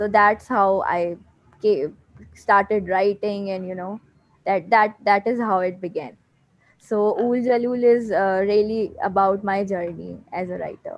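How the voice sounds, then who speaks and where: Speaking in a Pakistani accent, a woman moves at a fairly slow pace with a medium pitch and fairly even intonation. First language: Urdu. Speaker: poet and author. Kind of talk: interview. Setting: video call. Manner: halting, many fillers.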